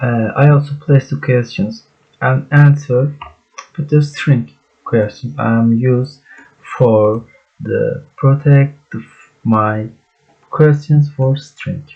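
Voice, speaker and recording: With a Turkish accent, a man speaks at a very slow pace, leaving long, frequent pauses. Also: medium pitch for a man, ordinary pitch variation. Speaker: student. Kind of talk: project presentation. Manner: halting.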